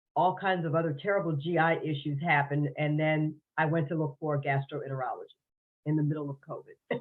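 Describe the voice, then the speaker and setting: Speaking at a fairly quick pace, a woman has a very deep, low pitch and fairly even intonation. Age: 60s. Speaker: podcast guest sharing health story. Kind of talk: interview testimony.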